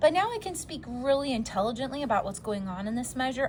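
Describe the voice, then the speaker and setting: In a room with audible echo, a woman speaks with a high pitch and very wide swings in it. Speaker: music teacher. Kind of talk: lecture.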